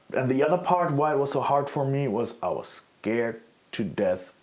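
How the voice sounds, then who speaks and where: A man speaks with a German accent and lively intonation. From Germany. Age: 40s. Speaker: former extremist. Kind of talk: interview. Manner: halting.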